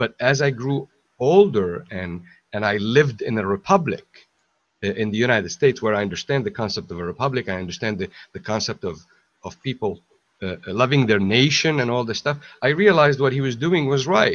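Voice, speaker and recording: Speaking at a fairly quick pace, a man with an Arabic accent uses lively intonation. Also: medium pitch for a man. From Syria, Aleppo. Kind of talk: casual chat. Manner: halting, many repetitions.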